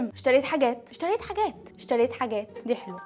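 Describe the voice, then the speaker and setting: Over music in the background, a woman with an Egyptian accent speaks fairly quickly in an animated tone, her pitch swinging very widely. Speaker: YouTuber. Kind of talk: vlog. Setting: at home.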